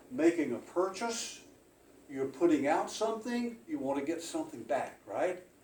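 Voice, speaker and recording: Amid noticeable background noise and audible room echo, a man speaks at a moderate pace in a high voice with very wide pitch swings. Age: 80s+. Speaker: guest speaker, retired insurance agent and powerlifter. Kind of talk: motivational club speech.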